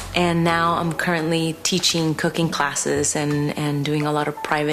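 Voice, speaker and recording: A woman's very deep, low voice comes at a moderate pace against noticeable background noise. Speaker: chef. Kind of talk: documentary interview. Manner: loud; animated.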